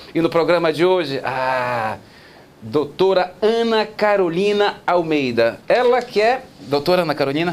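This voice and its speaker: An animated man's voice, high in pitch, with very wide pitch swings and very even loudness. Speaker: TV talk show host. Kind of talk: talk show interview. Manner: fast.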